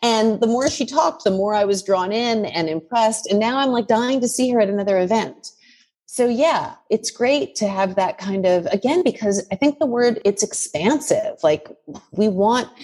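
A woman with an ordinary speaking voice uses lively intonation at a fairly high pitch, keeping her loudness very even. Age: 50s. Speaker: online community founder. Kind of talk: casual chat.

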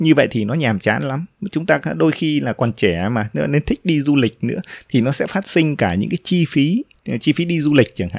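The man's pitch is fairly high and swings very widely. The sound is dry and close, with no echo. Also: very clean recording, silent background. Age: 30s. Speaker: podcast host, blogger. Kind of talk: solo podcast monologue. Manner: frequent filler hesitations.

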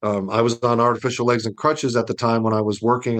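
Over a quiet background, a man with an American accent uses an ordinary speaking voice at medium pitch and a fairly quick pace. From Arizona, US. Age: 50s. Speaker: motivational speaker and former athlete. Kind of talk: casual interview.

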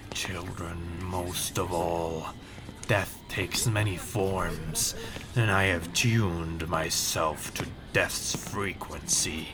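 Against loud background noise, a man with a very deep, low pitch talks at a very slow pace. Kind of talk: dark audio drama monologue. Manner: cold, obsessive, detached; grandiose, prophetic.

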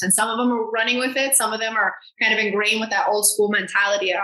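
Someone with an American accent talks at a very fast pace over noticeable background noise. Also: woman. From Miami, Florida. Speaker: marketing agency founder. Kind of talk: casual interview chat.

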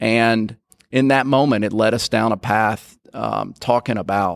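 A man with an American accent speaks fairly slowly at a medium pitch, with vocal fry and fairly even intonation. The sound is dry and close with no echo. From Kentucky (Nicholasville, near Lexington). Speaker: real estate investor and broker. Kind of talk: interview. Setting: studio.

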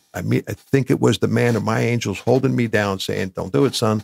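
A man with an American accent talks in a fairly low pitch with vocal fry. The sound is dry and close, with no echo. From New Jersey (Bloomfield). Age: 60s. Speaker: business owner, recovering addict. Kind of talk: interview testimony.

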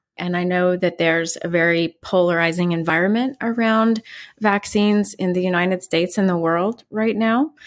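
In an American accent, an ordinary speaking voice moves at a moderate pace with ordinary pitch variation, recorded very cleanly over a silent background. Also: woman, medium pitch for a woman. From West Virginia. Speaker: psychotherapist. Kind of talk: interview.

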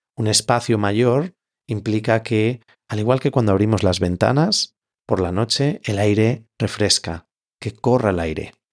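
This man has a normal speaking voice, fairly low in pitch with ordinary pitch variation, recorded with a dry, close sound and no echo. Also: fairly slow pace. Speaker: yoga teacher. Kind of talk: guided meditation. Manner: soft-spoken, gentle.

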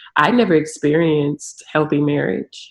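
A woman with a very deep, low pitch and vocal fry keeps her intonation fairly even. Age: 20s. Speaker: professional basketball player and poet. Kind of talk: interview conversation.

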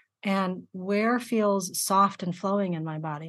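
A woman talks at a medium pitch with ordinary pitch variation and a somewhat breathy sound. The background is quiet. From US, immigrant family from the Philippines. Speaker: psychotherapist. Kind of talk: interview.

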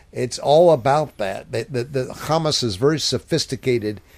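A man talks at a fairly slow pace, and his pitch varies in an ordinary way. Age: 60s. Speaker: personal injury lawyer. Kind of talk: monologue on current affairs in an interview. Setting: studio. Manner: hesitant, with frequent fillers.

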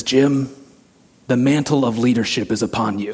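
In a put-on character voice, a man sounds hoarse and gravelly, with medium pitch, fairly even intonation and a moderate pace. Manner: solemn, grave.

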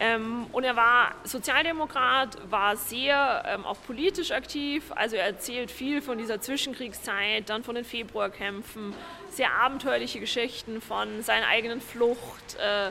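Fairly slow speech with hardly any pauses and ordinary pitch variation, set against noticeable background noise. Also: woman, fairly high pitch for a woman. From Vienna, Austria. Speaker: historian and author. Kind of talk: interview. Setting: on location at a housing estate.

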